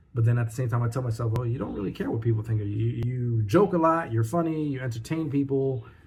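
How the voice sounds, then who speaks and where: A somewhat breathy man at medium pitch races along at a very fast pace with hardly any pauses and ordinary pitch variation. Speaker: vlogger, new entrepreneur. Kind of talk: casual vlog monologue. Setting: home desk setup.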